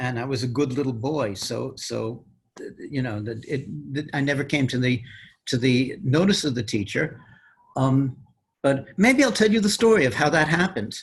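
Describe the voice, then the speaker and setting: A man with an American accent talks at a moderate pace, his somewhat breathy voice rising and falling in lively intonation. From New York City, the Bronx. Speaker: mathematician. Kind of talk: interview.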